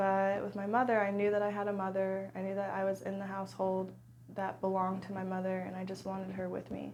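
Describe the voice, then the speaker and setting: A woman speaks very fast at a medium pitch, her intonation monotone and flat, with audible room echo around her. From US, Arlington Virginia. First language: American Sign Language. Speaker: trauma survivor sharing her story. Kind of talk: personal testimony interview.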